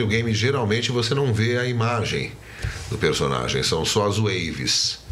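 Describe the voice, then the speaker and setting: Noticeable background noise and audible room echo surround this recording. A man speaks with ordinary pitch variation. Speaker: voice actor. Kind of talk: interview.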